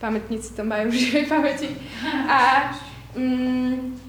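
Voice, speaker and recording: Over noticeable background noise and audible room echo, a woman speaks with ordinary pitch variation. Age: 30s. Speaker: workshop leader. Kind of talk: testimony.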